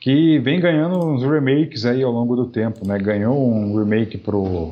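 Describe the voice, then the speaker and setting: Speaking very slowly, a man uses a medium pitch. His intonation is lively. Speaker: podcast co-host. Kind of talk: casual chat.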